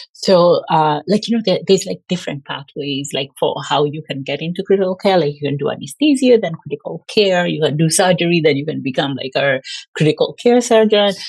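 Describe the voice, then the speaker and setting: A woman with a Kenyan accent speaks at a fairly quick pace with lively intonation and a fairly low pitch, in a dry, close sound with no echo. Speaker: pulmonary and critical care physician. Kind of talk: podcast interview. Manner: casual, filler-heavy ('like').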